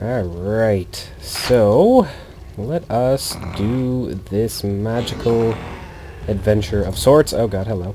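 Over noticeable background noise, the speech runs at a very slow pace with ordinary pitch variation. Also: man, medium pitch for a man. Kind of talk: gaming commentary. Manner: casual.

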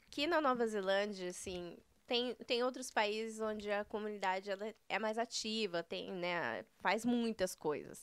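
Speaking at a fairly slow pace against a quiet background, a woman with a fairly high pitch shows ordinary pitch variation. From Paraná, Brazil (Maringá); Paraná, Brazil. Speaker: entrepreneur, news site co-owner; news site co-owner. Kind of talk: casual interview. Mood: warm, smiling, animated. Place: studio. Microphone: studio mic.

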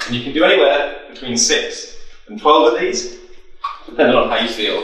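With strong room echo around him, a man speaks at a fairly quick pace. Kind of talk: workout instruction. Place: empty room.

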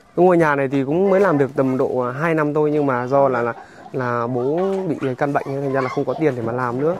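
A man speaks at a very fast pace with a fairly high pitch and ordinary pitch variation. The sound is dry with no echo, and noticeable background noise is present. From Vietnam. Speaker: charity vlogger. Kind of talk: casual chat. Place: open country.

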